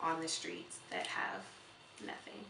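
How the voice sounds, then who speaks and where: A woman speaks with audible room echo. Light background noise can be heard. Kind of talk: interview answer. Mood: earnest, heartfelt. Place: home room.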